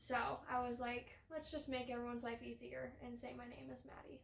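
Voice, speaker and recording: This woman has a high-pitched voice. Noticeable background noise runs under her speech. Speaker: podcast co-host. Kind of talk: casual chat. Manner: loud.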